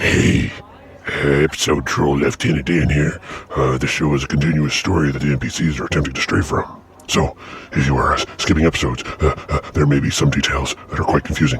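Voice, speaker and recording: Using a put-on character voice, a man talks at a fairly quick pace with a very deep, low pitch over clear background noise. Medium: actual play. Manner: halting, full of filler sounds.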